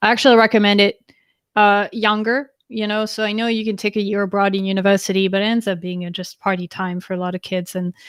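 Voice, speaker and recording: Very fast speech from a woman with a French accent, medium pitch, and monotone, flat intonation, on a very clean recording with a silent background. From France. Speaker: interview guest. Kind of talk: live interview.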